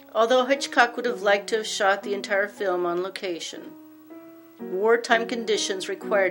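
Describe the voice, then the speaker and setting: The voice moves through very wide pitch swings with music in the background. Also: woman. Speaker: documentary narrator. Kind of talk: documentary narration.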